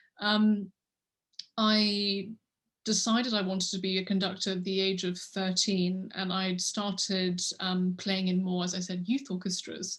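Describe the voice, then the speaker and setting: Fairly slow, somewhat breathy delivery in an English accent, with monotone, flat intonation. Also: woman, medium pitch for a woman. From England, London. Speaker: orchestra conductor. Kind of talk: interview. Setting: video call.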